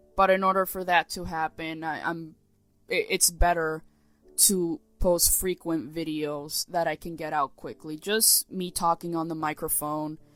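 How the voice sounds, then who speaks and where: Music plays behind a woman who speaks at a fairly slow pace, her voice dry and close with no echo. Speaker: animator and artist vlogger. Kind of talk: casual vlog commentary. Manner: halting, repetitive.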